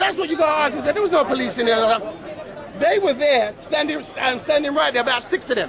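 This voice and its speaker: An animated man at an extremely high pitch, lively intonation and very even loudness, at a fairly quick pace over crowd noise in the background. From London, Battersea. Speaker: local resident. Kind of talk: heated street argument.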